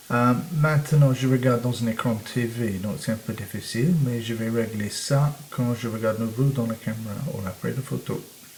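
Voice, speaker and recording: With a non-native accent, a man talks at a moderate pace and a medium pitch, his intonation fairly even over noticeable background noise. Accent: foreign accent in French. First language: English (speaking French). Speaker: photography teacher. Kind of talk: tutorial. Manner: halting, many hesitations.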